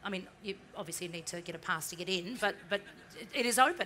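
A woman's medium-pitched voice, bright and sharp in tone, at a fairly quick pace with ordinary pitch variation and light background noise. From New Zealand. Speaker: marketing executive; panelist. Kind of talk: interview on stage. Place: stage.

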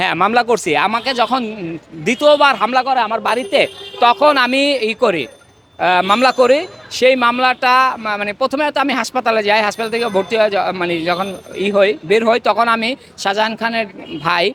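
Over background music, a man speaks at an extremely high pitch with ordinary pitch variation. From Bangladesh, Madaripur. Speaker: protester, son of a freedom fighter. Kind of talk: street interview, protest testimony. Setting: outdoors on the street. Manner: animated.

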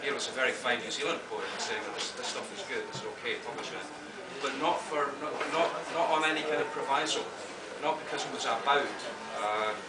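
Loud background noise fills the space while a man speaks at a fairly quick pace. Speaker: poet and literature professor. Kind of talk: interview answer. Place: hall.

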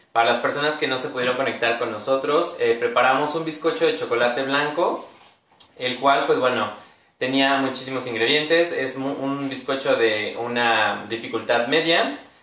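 A man talks with ordinary pitch variation, and some room echo is audible. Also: moderate pace. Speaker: product demonstrator. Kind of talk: live stream presentation. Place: kitchen. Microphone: phone near.

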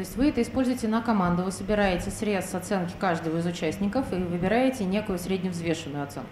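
Hardly pausing, a woman speaks at a very fast pace and medium pitch with ordinary pitch variation, while audible room echo and light background noise fill the recording. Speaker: IT professional; guest lecturer. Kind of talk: Q&A question. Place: hall. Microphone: handheld.

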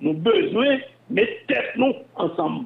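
A man speaks with a Haitian accent at an extremely high pitch. His pitch swings very widely. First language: Haitian Creole (speaking French). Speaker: former telecom and bank executive. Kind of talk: interview.

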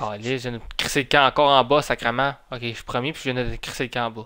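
Talking at a fast pace, a man with a medium pitch has a clear, smooth tone that is also bright and sharp, with fairly even intonation.

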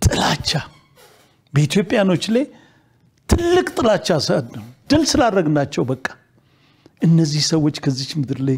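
A man's high-pitched voice moves in very wide pitch swings. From Ethiopia. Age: 70s. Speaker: retired army general; guest. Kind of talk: TV interview. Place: studio. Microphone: lapel.

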